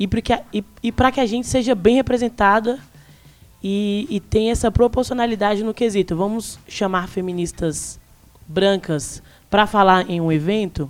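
A woman speaks in a plain, everyday voice at medium pitch. Her pace is moderate, with ordinary pitch variation. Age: 20s. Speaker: youtuber, student and activist. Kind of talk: live panel discussion. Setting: live recording at bookstore event with audience.

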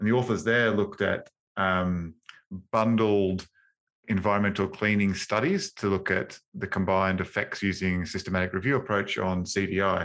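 A man speaks with an Australian accent at a moderate pace, his fairly low voice holding very even loudness and fairly even intonation in a very clean recording with a silent background. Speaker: infection control podcast host. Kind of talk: casual professional discussion. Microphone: new upgraded microphone.

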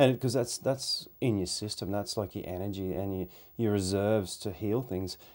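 In an Australian accent, a man speaks at a fairly low pitch on a very clean recording with a silent background. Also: ordinary pitch variation, moderate pace. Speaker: podcast interviewer and hunter. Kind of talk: casual chat.

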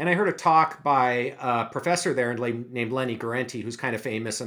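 A man with an unremarkable speaking voice, medium-pitched, with an American accent, at a moderate pace, in a very clean recording against a silent background. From US Pacific Northwest, Seattle. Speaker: aging research scientist. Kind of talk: interview.

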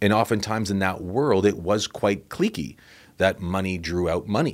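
A man speaks with an unremarkable speaking voice at a fairly low pitch and a moderate pace. The recording is very clean, with a silent background. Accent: Canadian. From Canada, Toronto. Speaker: financial author and motivational speaker. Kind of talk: casual interview.

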